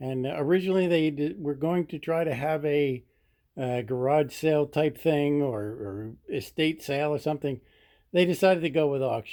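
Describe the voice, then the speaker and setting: An unremarkable speaking voice from a man with an American accent, fairly high in pitch, with ordinary pitch variation at a moderate pace. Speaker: auctioneer. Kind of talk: casual talk to camera.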